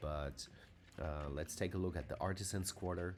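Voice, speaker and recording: A man's voice with vocal fry and a non-native accent. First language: not English. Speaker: fantasy map maker and tabletop game master. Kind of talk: tutorial. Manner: halting, many filler sounds; casual.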